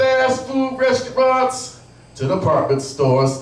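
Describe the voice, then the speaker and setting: A man speaks with very wide swings in pitch over noticeable background noise. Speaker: slam poet. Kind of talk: live slam poetry performance. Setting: live venue.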